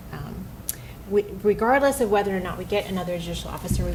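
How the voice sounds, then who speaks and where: Noticeable background noise fills the clip. A woman's voice carries audible room echo. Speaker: judge. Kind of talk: presentation to city council. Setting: council meeting. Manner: fast; hesitant with many fillers.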